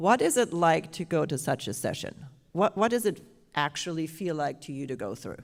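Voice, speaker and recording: Someone speaks at a moderate pace in a German accent on a very clean recording with a silent background. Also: woman. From Germany. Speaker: panel moderator, Parkinson's specialist. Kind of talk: panel discussion at live symposium.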